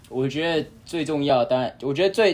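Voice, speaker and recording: A man's unremarkable speaking voice at a moderate pace, with ordinary pitch variation. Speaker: college tennis player. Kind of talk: casual chat.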